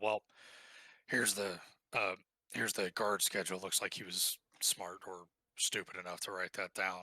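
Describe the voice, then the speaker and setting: A man puts on a raspy character voice with fairly low pitch and monotone, flat intonation, at a moderate pace. He leaves long, frequent pauses, and the sound is dry and close with no echo. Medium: actual play.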